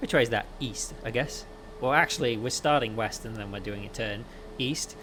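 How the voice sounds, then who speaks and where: A man's voice over noticeable background noise. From Wales, near Cardiff. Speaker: flight sim streamer. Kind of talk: live gaming stream commentary. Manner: casual, with many fillers.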